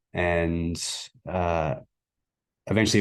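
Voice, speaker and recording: Very deep, low, monotone voice of a man with an Australian accent, against a quiet background. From Australia, Melbourne. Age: 30s. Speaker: sports coach. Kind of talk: interview.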